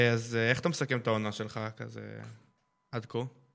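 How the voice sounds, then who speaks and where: Pitched at a medium level, a man speaks at a moderate pace with fairly even intonation. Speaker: youth radio host. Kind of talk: casual interview.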